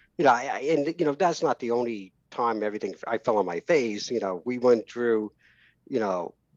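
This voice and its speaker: A man with a New York accent speaks at a medium pitch and moderate pace with lively intonation, the sound dry and close with no echo over a quiet background. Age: 50s. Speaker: entrepreneur. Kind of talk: podcast interview. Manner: halting.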